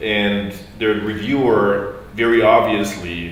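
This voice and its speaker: A man with a non-native accent speaks in a fairly low, flat monotone, with noticeable background noise and audible room echo. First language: not English. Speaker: audience member asking a question. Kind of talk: question from the floor.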